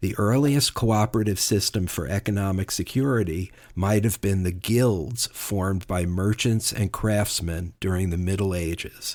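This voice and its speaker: In a very clean recording with a silent background, a man with a normal speaking voice and an American accent talks at a moderate pace, his pitch fairly low with ordinary variation. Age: 60s. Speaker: podcast co-host. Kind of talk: prepared presentation.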